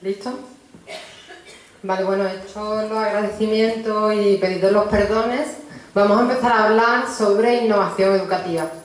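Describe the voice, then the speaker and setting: Flat, monotone delivery in a strong Andalusian accent, with long, frequent pauses, noticeable background noise and audible room echo. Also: woman, fairly high pitch for a woman, moderate pace. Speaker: university professor of pedagogy. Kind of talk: conference talk.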